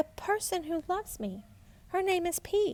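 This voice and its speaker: A woman's put-on character voice, squeaky and extremely high-pitched, at a moderate pace. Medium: read story. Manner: soft, earnest.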